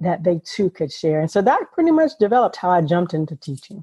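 A woman speaks with an American accent at a medium pitch. Her tone is dark and mellow. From US South, South Carolina low country. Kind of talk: interview.

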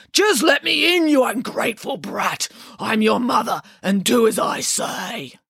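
In a put-on character voice, gruff with vocal fry and a slightly husky edge, the speaker uses a fairly bright tone and lively intonation at a fairly slow pace. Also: woman, fairly high pitch for a woman.

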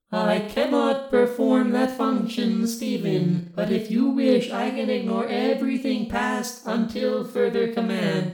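A put-on character voice, fairly high in pitch and fairly slow, with hardly any pauses, slight echo and loud background noise. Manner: flat, literal, formal phrasing.

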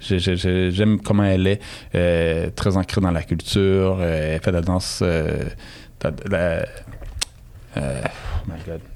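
A man speaks in a very deep, low pitch at a very slow pace. Long, frequent pauses break up his fairly even intonation. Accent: Quebec. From Montreal, Saint-Michel, Quebec. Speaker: DJ. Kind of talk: interview. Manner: halting.

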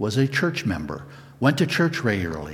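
A man's medium-pitched voice with vocal fry at a moderate pace. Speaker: guest preacher. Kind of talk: sermon. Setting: church.

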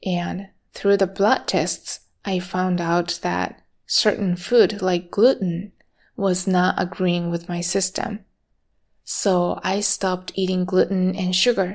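In a Japanese accent, the speaker talks at a very slow pace with monotone, flat intonation in a very clean recording with a silent background. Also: woman, medium pitch for a woman. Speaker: meditation teacher. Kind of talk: personal monologue.

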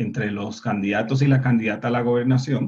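A man with a Puerto Rican accent, his voice somewhat breathy. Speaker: panelist. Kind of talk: political discussion.

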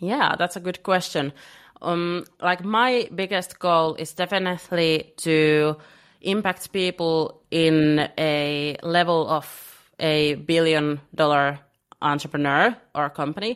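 Over a quiet background, a woman speaks at a very slow pace in a fairly low pitch. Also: ordinary pitch variation. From Finland. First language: Finnish. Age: 20s. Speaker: business coach. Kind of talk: podcast interview. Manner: hesitant, many fillers.

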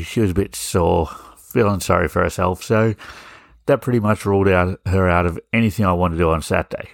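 On a very clean recording with a silent background, a man with an Australian accent and a very deep, low voice speaks with ordinary pitch variation. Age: 40s. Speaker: podcast host. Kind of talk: casual monologue.

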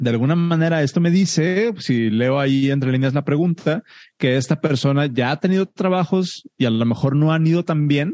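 With the background quiet, a man at a fairly high pitch talks moderately fast, his pitch varying in an ordinary way. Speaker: software engineer and podcast host. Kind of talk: group Q&A session.

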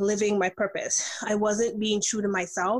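A fairly high-pitched woman's voice with an American accent, amid noticeable background noise. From US, New York. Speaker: life and business coach. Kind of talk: interview.

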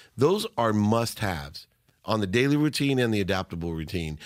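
In a very clean recording with a silent background, a man uses a plain, everyday voice, fairly low in pitch, with lively intonation at a moderate pace. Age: 50s. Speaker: entrepreneur and speaker. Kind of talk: interview. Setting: studio.

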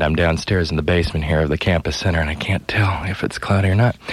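With noticeable noise behind him, a man talks using ordinary pitch variation. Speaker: college radio host. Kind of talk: radio show hosting, weather and music announcements. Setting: radio studio. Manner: friendly, conversational.

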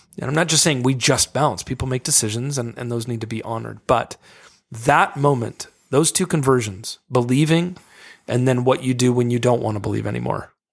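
The man has an ordinary speaking voice at a medium pitch. He talks at a fairly quick pace with ordinary pitch variation. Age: 40s. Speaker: author. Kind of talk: casual chat.

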